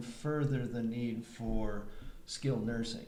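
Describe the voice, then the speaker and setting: Over noticeable background noise, a man talks at a very slow pace, with audible room echo. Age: 60s. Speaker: panel moderator on elder care. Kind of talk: panel discussion. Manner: halting, many fillers.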